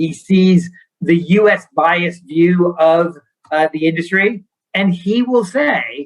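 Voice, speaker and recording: A man with an American accent, high-pitched, very slow, fairly even in intonation and very even in loudness. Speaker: bank founder and CEO. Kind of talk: interview.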